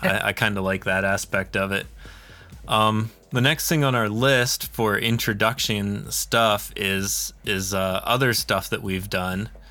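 A man with an American accent, fairly low pitch, bright, sharp tone, ordinary pitch variation and a fairly slow pace. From Pennsylvania. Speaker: podcast host, indie game studio founder. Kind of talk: casual chat.

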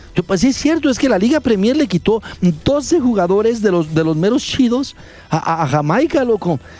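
A man with a high pitch and a Mexican accent speaks at a moderate pace in an animated tone, his pitch swinging very widely. His loudness stays very even, and there is noticeable background noise. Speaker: sports radio host. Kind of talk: sports talk radio.

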